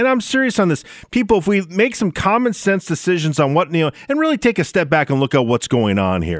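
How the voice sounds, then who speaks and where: With an Upper Midwest accent, a man talks at a high pitch and a fairly quick pace, his pitch swinging very widely with hardly any pauses. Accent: Upper Midwest American. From Minnesota. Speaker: talk radio host. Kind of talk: talk radio monologue and call-in.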